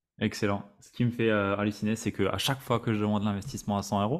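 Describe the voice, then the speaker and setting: An ordinary speaking voice from a man, fairly low in pitch and at a fairly quick pace, on a very clean recording with a silent background. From Alsace, France. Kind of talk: interview podcast.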